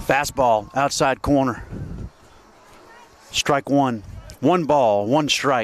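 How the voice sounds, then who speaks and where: A man's medium-pitched voice at a very slow pace, with long, frequent pauses. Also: ordinary pitch variation, dry, close sound with no echo. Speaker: baseball play-by-play announcer. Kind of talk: live commentary.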